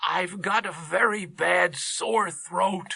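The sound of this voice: A woman's raspy, put-on character voice at a medium pitch and a very slow pace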